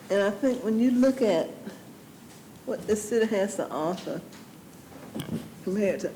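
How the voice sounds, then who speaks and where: A woman with a Georgia accent at a moderate pace, with audible room echo. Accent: Southern American (Georgia). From US South, Georgia. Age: 60s. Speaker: city council member. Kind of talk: council meeting discussion.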